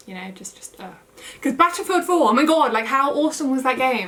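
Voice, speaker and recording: A woman speaks with a British accent. Noticeable background noise runs behind her. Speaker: plant YouTuber. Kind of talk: casual vlog chat. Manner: casual, many fillers.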